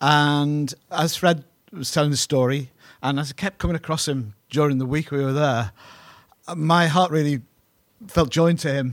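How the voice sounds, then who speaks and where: A man with a British accent and a fairly high pitch speaks at a moderate pace with fairly even intonation and long, frequent pauses. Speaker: pastor. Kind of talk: sermon. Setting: church. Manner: halting.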